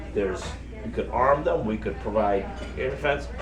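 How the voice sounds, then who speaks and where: This recording of a man has audible room echo and noticeable background noise. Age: 60s. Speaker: activist and former soldier. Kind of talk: talk to audience. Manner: halting with fillers.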